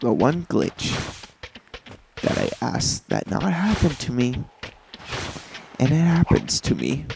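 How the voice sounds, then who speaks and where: Long, frequent pauses break up the fairly slow speech, heard over noticeable background noise. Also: man. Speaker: gaming YouTuber. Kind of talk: let's play commentary. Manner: halting, repeats words. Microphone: mic level low, may seem broken.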